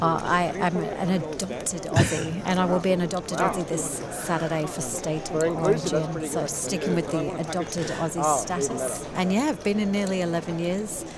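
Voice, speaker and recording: With audible room echo and noticeable background noise, a woman with a fairly low pitch speaks at a moderate pace, with fairly even intonation and hardly any pauses. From UK. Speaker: poker player and co-commentator. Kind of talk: live commentary.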